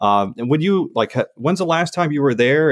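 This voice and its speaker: A man with an Upper Midwest accent at a very fast pace, with ordinary pitch variation, in a very clean, dry, close recording with a silent background and no echo. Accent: Upper Midwest American. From Upper Peninsula Michigan / northern Minnesota. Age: 40s. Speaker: podcast host. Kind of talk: casual interview. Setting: basement in Detroit.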